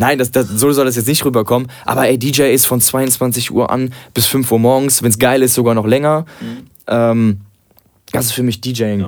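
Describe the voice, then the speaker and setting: Fairly even intonation and a medium pitch characterize this man. He uses a normal speaking voice at a moderate pace. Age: 20s. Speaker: DJ. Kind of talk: casual chat.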